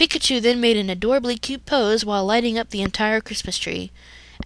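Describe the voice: Just plain reading aloud.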